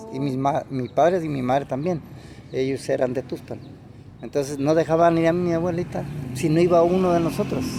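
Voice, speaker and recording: With a Mexican accent, a man talks at a fairly quick pace and a fairly high pitch. His intonation is fairly even, and background noise is noticeable. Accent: Mexican Spanish (Jalisco). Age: 70s. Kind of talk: interview answer.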